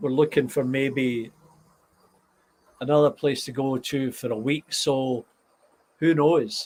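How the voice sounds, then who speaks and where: Very slowly and with long, frequent pauses, a man speaks in a Scottish accent at a medium pitch, his intonation fairly even. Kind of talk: casual live stream talk to viewers.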